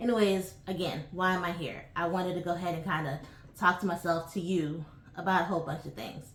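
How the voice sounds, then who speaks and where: Amid audible room echo, a woman with an American accent speaks at a fairly quick pace, her fairly low voice keeping fairly even intonation. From New York (Bronx) and Hershey, Pennsylvania. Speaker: travel vlogger. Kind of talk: casual vlog monologue. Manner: hesitant, many fillers.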